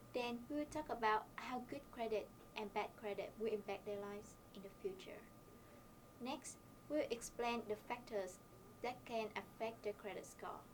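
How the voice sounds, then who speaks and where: A woman with a Vietnamese accent speaks at a moderate pace in a fairly high pitch, her intonation fairly even. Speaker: university student. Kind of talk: scripted presentation.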